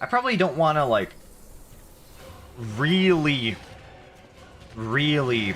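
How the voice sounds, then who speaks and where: Against music in the background, a man speaks at a fairly slow pace with lively intonation. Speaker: video game streamer. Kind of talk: live gameplay commentary. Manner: casual, halting.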